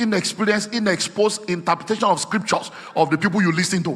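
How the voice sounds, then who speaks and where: A man races along at a very fast tempo with ordinary pitch variation, noticeable background noise behind him. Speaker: preacher. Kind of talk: sermon.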